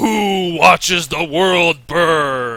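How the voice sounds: A man's put-on character voice at a high pitch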